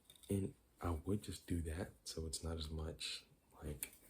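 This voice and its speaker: Soft-spoken and somewhat breathy, a man talks at a very deep, low pitch with fairly even intonation. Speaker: ASMR creator. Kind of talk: ASMR casual talk to camera.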